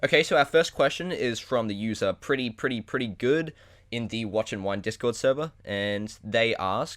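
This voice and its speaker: On a very clean recording with a silent background, a man with an Australian accent speaks at a moderate pace in a medium pitch with ordinary pitch variation. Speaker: podcast host. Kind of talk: casual chat.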